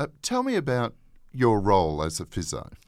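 The audio is very clean over a silent background. A man's speech moves at a moderate speed. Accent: Australian. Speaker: government department manager and podcast host. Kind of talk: interview.

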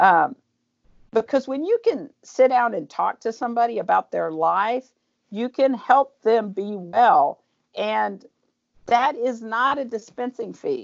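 A woman with an American accent has a plain, everyday voice. Her pitch is fairly high, her intonation lively and her pace fairly slow. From Oklahoma, Tulsa. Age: 50s. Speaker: pharmacist. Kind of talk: interview.

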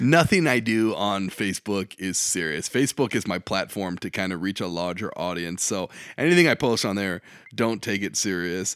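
A man talks at a moderate pace and a fairly low pitch, with ordinary pitch variation. The sound is dry and close with no echo, on a very clean recording with a silent background. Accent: Midwestern American. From eastern Iowa, Davenport. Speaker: comedian and high school teacher. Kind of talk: casual interview chat. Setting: makeshift home studio.

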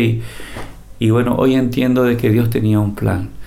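A man's monotone, flat intonation with a Paraguayan accent, amid noticeable background noise and audible room echo. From Paraguay, Cordillera department. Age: 60s. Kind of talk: testimony.

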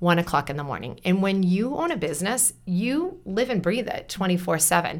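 A woman speaks at a fairly quick pace with an American accent, her pitch medium and her intonation lively, in an ordinary speaking voice. The recording is very clean, with a silent background. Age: 40s. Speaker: entrepreneur and teacher. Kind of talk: casual chat. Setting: studio.

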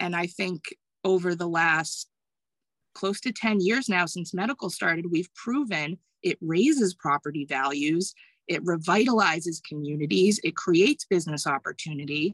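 An ordinary speaking voice with an American accent, lively intonation and a moderate pace, dry and close with no echo, over a quiet background. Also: woman, fairly low pitch for a woman. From Massachusetts. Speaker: cannabis delivery business partner. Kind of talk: interview.

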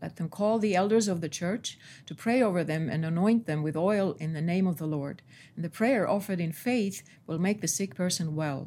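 Somewhat breathy and fairly low-pitched, the woman's voice has a dark, mellow tone and ordinary pitch variation. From Estonia. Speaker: translator. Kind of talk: prayer and casual interview. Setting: studio.

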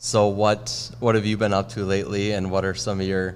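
A man with an Upper Midwest accent speaks at a moderate pace in a very deep, low pitch with lively intonation. Room echo is audible. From Minnesota. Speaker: social media staffer. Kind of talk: interview questions. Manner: casual.

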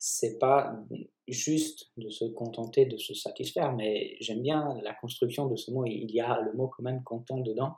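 A man with a Polish accent speaks at medium pitch and a fairly slow pace, somewhat breathy. His intonation stays fairly even. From Poland. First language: Polish (speaking French). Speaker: physiotherapist and osteopath. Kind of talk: casual chat.

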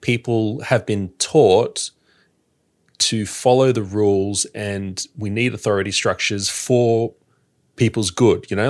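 On a very clean recording with a silent background, a man with an Australian accent speaks at a medium pitch with ordinary pitch variation. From Sydney, Australia. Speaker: podcaster. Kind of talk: casual chat.

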